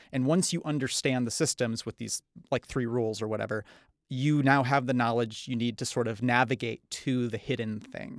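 With an unremarkable speaking voice, a man speaks at a medium pitch and moderate pace with fairly even intonation, in a dry, close sound with no echo on a very clean recording with a silent background. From northern Michigan. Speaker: game developer. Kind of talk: casual interview.

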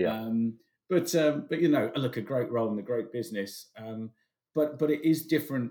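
Lively intonation marks this man's speech in a British accent. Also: medium pitch for a man, moderate pace. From England. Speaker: business consultant. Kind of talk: interview.

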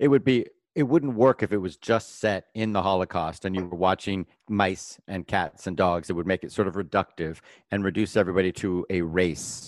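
In an American accent, a man talks at a moderate pace against a quiet background. His very deep, low pitch shows ordinary pitch variation. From Florida (Pompano, Fort Lauderdale). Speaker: entertainment writer. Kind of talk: casual chat.

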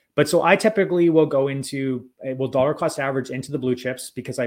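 Very fast and medium in pitch, a man speaks with ordinary pitch variation. The recording is very clean, with a silent background. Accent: Albertan. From Alberta, Canada. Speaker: crypto educator. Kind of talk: interview.

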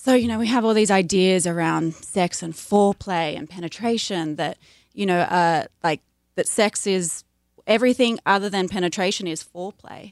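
On a very clean recording with a silent background and a dry, close sound with no echo, a woman with an unremarkable speaking voice talks at a moderate pace at medium pitch with ordinary pitch variation. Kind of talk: interview advice, conversational.

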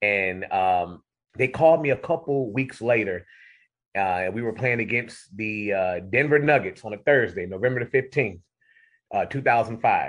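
Speaking at medium pitch, a man has an unremarkable speaking voice and an American accent. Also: ordinary pitch variation, moderate pace. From Cleveland, Ohio. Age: 40s. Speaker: arena public address announcer. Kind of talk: radio interview.

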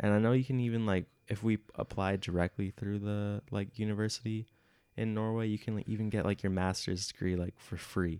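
A man with a Midwestern US accent talks at a fairly quick pace in a fairly low, monotone voice with flat intonation. The recording is very clean with a silent background. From US Midwest. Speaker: podcast host, exchange student. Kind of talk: casual chat.

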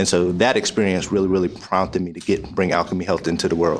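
A man with an American accent talks at a very fast pace. His pitch is fairly low, and there is audible room echo. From US Northeast (Pittsburgh, Pennsylvania). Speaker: former football player, mental health entrepreneur. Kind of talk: podcast interview. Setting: live at a conference.

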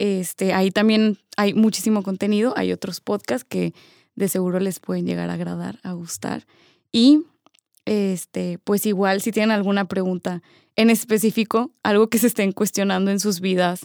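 A woman with a normal speaking voice talks at a moderate pace in a medium pitch with fairly even intonation, captured in a dry, close sound with no echo. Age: 20s. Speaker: podcast co-host, business student. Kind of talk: casual chat. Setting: in-person recording.

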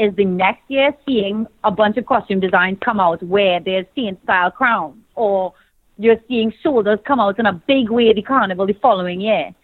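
Speaking with a Trinidadian accent, a woman uses a fairly high pitch, ordinary pitch variation and a passionate, animated tone. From Trinidad and Tobago. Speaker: pageant titleholder, TV and radio host, fashion designer. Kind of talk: casual interview chat. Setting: phone call.

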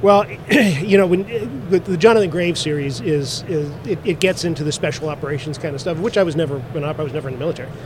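A man speaks at a fairly high pitch with ordinary pitch variation and a very fast pace. Noticeable background noise sits behind him. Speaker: author and radio show host. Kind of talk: interview.

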